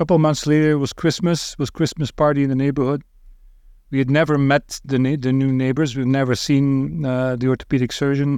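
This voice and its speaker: A man with a Belgian accent speaks at a fairly quick pace. His medium-pitched voice keeps a fairly even intonation. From Belgium. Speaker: ultrasound radiologist. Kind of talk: casual interview. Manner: halting, filler-heavy.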